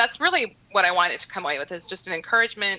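With an American accent, a woman talks in an ordinary speaking voice at medium pitch, her pitch varying in an ordinary way. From southern New Mexico, US. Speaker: author and military spouse. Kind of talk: interview.

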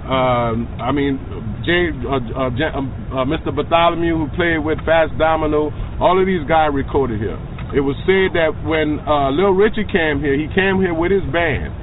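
A man's fairly high, fairly slow voice with ordinary pitch variation, audible room echo and noticeable background noise. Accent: New Orleans. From New Orleans. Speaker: tour guide. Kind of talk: guided tour.

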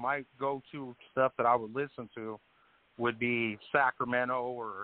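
A man with an American accent talks at a fairly slow pace and medium pitch. He has a normal speaking voice. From Colorado. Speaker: music producer. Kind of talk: casual interview.

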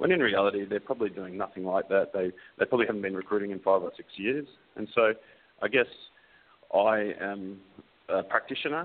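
In an Australian accent, a man talks at a fairly quick pace with long, frequent pauses, a fairly low pitch and ordinary pitch variation. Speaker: recruiter. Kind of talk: casual interview.

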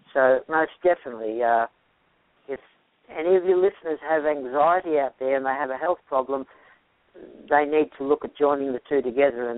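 This man's voice is fairly high in pitch, with ordinary pitch variation. He moves at a fairly quick pace. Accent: Australian. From Australia. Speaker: health practitioner. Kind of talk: interview. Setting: radio or podcast interview.

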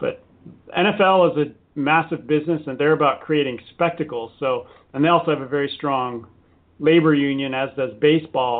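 A man with an American accent speaks in a plain, everyday voice. His pitch is fairly high and his intonation fairly even. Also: moderate pace. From US, San Diego. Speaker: author. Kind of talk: interview. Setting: radio show.

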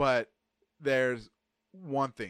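Against a quiet background, a man with an American accent speaks at medium pitch with lively intonation, the sound dry and close with no echo. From Texas. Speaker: podcast host. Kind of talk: casual chat.

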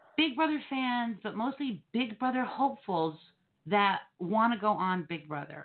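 A woman with an American accent, fairly high in pitch, with very wide pitch swings at a fairly slow pace. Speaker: podcast host. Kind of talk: casual banter.

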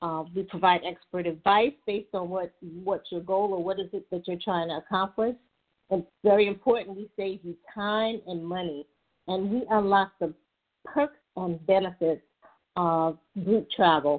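With an American accent, a woman speaks at medium pitch and a moderate pace, using ordinary pitch variation. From Brooklyn, New York. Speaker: travel consultant, former nurse. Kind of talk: interview podcast. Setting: phone call-in to internet radio. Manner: halting, with many repetitions and fillers.

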